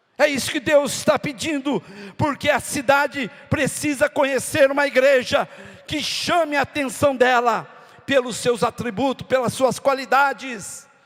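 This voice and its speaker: A man's extremely high-pitched voice at a fairly slow pace, fairly even in intonation, against noticeable background noise. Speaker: pastor. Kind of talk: sermon.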